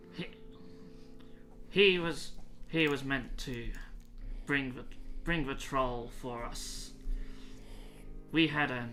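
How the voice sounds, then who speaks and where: Pausing long and often, a man in a put-on character voice speaks at a very slow pace with big swings in loudness as clear music plays in the background. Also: medium pitch for a man. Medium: actual play.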